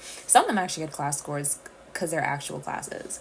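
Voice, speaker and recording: A woman's voice with noticeable background noise. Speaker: livestream host. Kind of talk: casual livestream chat. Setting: live stream.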